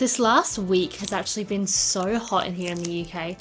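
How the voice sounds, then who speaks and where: Over music in the background, someone speaks in an Australian accent at a moderate pace with ordinary pitch variation. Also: woman. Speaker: vlogger. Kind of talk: casual vlog talk.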